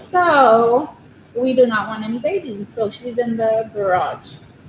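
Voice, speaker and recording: A woman with an American accent speaks at a fairly high pitch with ordinary pitch variation. Noticeable background noise sits behind her. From Southern California. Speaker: crochet livestreamer. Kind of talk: casual livestream chat. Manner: quiet, shy.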